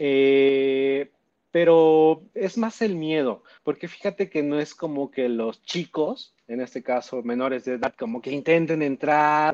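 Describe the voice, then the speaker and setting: A man speaks at a very slow pace with ordinary pitch variation. The sound is dry and close with no echo. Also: fairly high pitch for a man. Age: 30s. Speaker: sex shop business owner. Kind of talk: interview. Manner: halting, repeats words.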